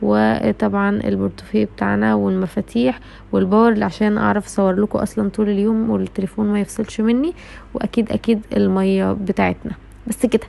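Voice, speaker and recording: A woman with an Egyptian accent has a very deep, low pitch and a dark, mellow tone. Her pitch swings very widely, yet her loudness stays very even. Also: moderate pace. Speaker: vlogger, university student. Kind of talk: vlog.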